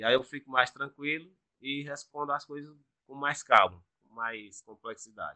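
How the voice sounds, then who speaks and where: Speaking at a moderate pace with fairly even intonation, a man has a plain, everyday voice with a fairly high pitch. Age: 30s. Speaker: adult education student. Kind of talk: casual interview.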